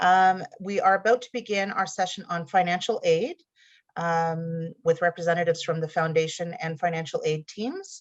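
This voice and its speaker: This woman has a normal speaking voice, medium in pitch with ordinary pitch variation. She talks at a moderate pace against a quiet background. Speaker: college event moderator. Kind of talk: online info session introduction.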